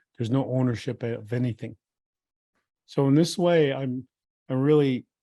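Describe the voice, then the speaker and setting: A man with a Lakota accent talks at a moderate pace and medium pitch. His tone is dark and mellow, his intonation fairly even. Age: old. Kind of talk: talk at a retreat. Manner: halting.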